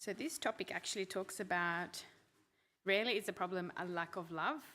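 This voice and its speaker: A loud woman speaks with a bright, sharp tone at medium pitch and ordinary pitch variation. She keeps a moderate pace on a very clean recording with a silent background. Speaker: couples group talk leader. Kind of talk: group talk.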